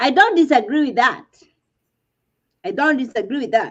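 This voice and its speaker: A woman with a Kenyan accent speaks with very wide pitch swings. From Kenya, village upbringing. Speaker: reality TV commentator. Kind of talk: casual chat. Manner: animated.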